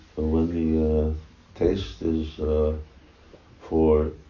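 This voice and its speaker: A man's very deep, low voice in a flat monotone at a very slow pace, over noticeable background noise. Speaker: spiritual teacher officiating initiation. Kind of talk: ceremony address. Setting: temple room with microphone. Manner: halting, many fillers.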